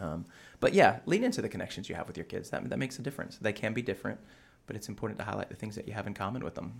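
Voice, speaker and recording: A man speaks with vocal fry. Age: 40s. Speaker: pastor and Bible scholar. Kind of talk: casual chat. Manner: hesitant, many fillers.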